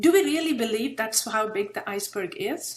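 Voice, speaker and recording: With very wide pitch swings, a woman's speech unfolds at a fairly slow pace. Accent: Indian. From India. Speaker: presenter, public speaking club leader. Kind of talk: interactive workshop presentation.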